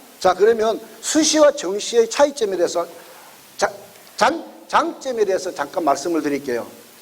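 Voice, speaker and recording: A loud man with a high pitch speaks at a moderate pace, and his pitch swings very widely. He takes long, frequent pauses over noticeable background noise. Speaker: education consultant lecturer. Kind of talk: lecture.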